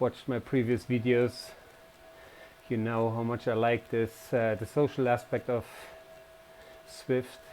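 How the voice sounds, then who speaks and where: This man has a non-native accent and a medium pitch. He speaks fairly slowly in a flat monotone. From Germany. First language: German. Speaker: cycling vlogger. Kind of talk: casual vlog commentary while riding. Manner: hesitant, many fillers.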